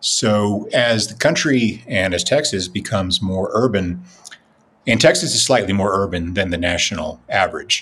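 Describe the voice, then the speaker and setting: An ordinary speaking voice from a man, fairly low in pitch, with ordinary pitch variation and a moderate pace. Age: 50s. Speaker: political writer. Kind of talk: casual chat.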